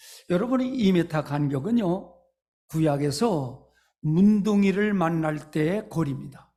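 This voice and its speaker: Speaking at a very slow pace, a man uses a high pitch and lively intonation, his tone dark and mellow. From North Korea. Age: 80s+. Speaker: pastor. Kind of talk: sermon. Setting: church. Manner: hesitant fillers.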